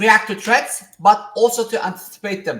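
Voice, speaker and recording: The speaker uses a non-native accent and a fairly slow pace. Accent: non-native accent, self-noted. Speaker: podcast host. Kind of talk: interview podcast.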